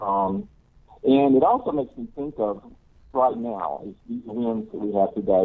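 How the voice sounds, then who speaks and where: In a plain, everyday voice, a man speaks at medium pitch and a fairly slow pace. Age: 50s. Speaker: caller. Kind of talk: call-in comment. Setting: phone call.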